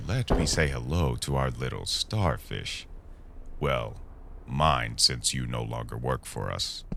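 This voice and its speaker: In a put-on character voice, a man speaks at a fairly slow pace with a very deep, low pitch against clear background noise. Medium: audio drama. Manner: polite on the surface, menacing underneath.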